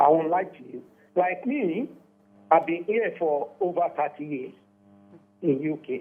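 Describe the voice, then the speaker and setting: The speaker is a man with a high pitch. He uses lively intonation. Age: 60s. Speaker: caller. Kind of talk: call-in comment.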